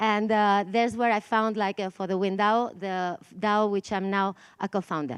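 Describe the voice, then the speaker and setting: A woman's medium-pitched voice with a Spanish accent, fairly even intonation and a moderate pace, in a dry, close sound with no echo against a quiet background. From Spain. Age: 40s. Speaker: conference speaker, DAO co-founder. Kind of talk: conference talk. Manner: halting, with many fillers.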